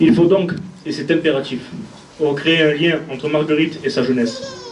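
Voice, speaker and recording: A man with a fairly high pitch speaks over noticeable background noise, with audible room echo. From southern France (Gard). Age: 20s. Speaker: municipal election candidate. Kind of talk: campaign speech. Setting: stage with audience. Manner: formal.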